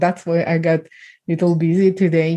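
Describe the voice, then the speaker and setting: This woman has a fairly low pitch, a Ukrainian accent and a dark, mellow tone, recorded against a quiet background. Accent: Eastern European (Ukrainian). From Ukraine. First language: Ukrainian or Russian. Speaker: trafficking survivor and speaker. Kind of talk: podcast interview testimony.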